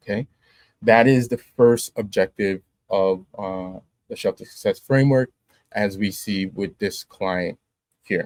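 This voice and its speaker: Fairly even intonation in a plain, everyday voice. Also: man, dry, close sound with no echo. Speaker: marketing webinar presenter. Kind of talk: live webinar presentation. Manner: casual with frequent fillers.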